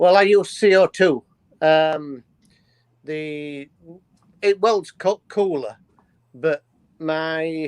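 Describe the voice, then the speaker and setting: Speaking very slowly with long, frequent pauses, a man with a Yorkshire accent has a fairly high pitch and ordinary pitch variation in a dry, close sound with no echo. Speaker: livestream guest. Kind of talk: casual chat. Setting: livestream.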